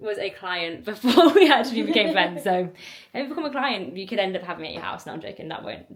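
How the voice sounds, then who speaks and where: A woman mumbling at a very fast pace and medium pitch, with very wide pitch swings and big swings in loudness, over noticeable background noise. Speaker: vlogger and coach. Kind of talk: casual vlog talk.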